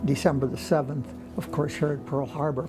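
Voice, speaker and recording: Music behind a man's voice, pitched fairly high. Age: 80s+. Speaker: World War II veteran, volunteer. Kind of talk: interview answer.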